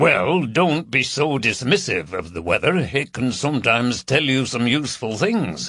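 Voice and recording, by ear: A person reads aloud in a natural voice.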